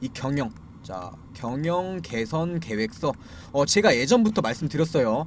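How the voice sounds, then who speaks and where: At a moderate pace, a man speaks in a fairly high pitch with very wide pitch swings. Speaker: stock market commentator. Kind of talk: stock analysis commentary. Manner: slurring articulation; frequent filler 'ja'.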